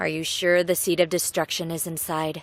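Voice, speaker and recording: The speaker puts on a character voice and keeps a moderate pace. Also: woman. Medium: video game. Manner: haughty.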